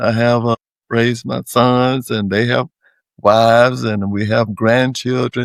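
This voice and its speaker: In a North Carolina accent, a man speaks at a medium pitch with flat, monotone intonation in a dry, close sound with no echo. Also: fairly slow pace. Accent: US Southern (North Carolina). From North Carolina, Wake County. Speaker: public servant and community leader. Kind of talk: interview.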